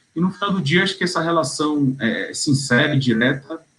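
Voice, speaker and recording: A man is speaking. His pace is moderate. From Bahia, Brazil. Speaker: tax lawyer. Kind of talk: interview answer. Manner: cheerful, laughs easily.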